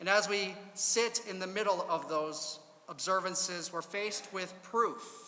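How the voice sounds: A natural reading voice carries pitch that varies in an ordinary way.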